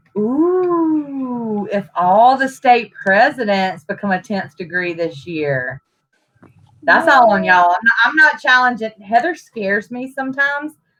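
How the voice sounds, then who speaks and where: Speaking loudly at a fairly slow pace, a woman uses a fairly high pitch with very wide pitch swings. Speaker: national officer of a civic leadership organization co-hosting a livestream. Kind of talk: casual chat. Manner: animated.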